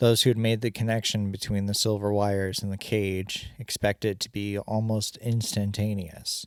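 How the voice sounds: A natural reading voice. Nothing more is marked.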